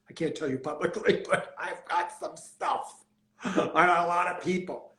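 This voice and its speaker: In an American accent, a man with a high pitch speaks in an animated tone amid audible room echo. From US Northeast (Pennsylvania). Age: 60s. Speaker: celebrity hairstylist. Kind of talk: interview.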